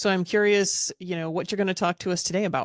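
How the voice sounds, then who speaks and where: Against a quiet background, a woman with a fairly low pitch uses fairly even intonation in an unremarkable speaking voice, recorded with a dry, close sound and no echo. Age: 50s. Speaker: podcast host. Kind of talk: podcast interview.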